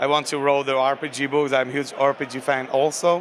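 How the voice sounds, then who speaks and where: Over noticeable background noise, a man with a Slovak accent talks at a fairly high pitch in a monotone, flat intonation. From Slovakia. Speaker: game designer. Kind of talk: interview. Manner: halting, many fillers.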